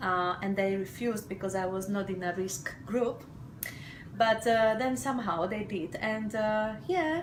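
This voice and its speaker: The speaker uses lively intonation at a fairly slow pace, with audible room echo and noticeable background noise. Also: woman, fairly high pitch for a woman. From Slovakia. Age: 40s. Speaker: mother sharing birth story. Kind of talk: testimony. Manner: hesitant, many fillers.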